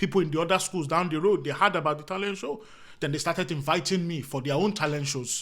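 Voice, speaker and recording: A man with an African accent, fairly high-pitched, at a very fast pace. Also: ordinary pitch variation. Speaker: comedian. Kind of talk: casual chat.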